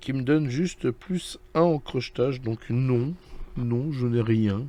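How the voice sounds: A man's medium-pitched voice with a dark, mellow tone, at a slow pace and with ordinary pitch variation.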